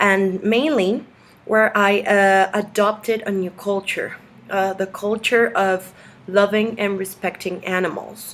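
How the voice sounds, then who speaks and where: Keeping a very slow pace, a woman speaks at a medium pitch with fairly even intonation. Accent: Spanish. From Mexico. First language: Spanish. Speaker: video blogger. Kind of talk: reading aloud. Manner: halting.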